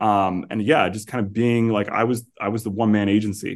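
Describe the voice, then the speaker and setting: An American accent at a moderate pace, with fairly even intonation. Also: man. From New York City area (Staten Island / New Jersey). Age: 30s. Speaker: marketing agency founder. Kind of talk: casual chat. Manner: halting, many repetitions.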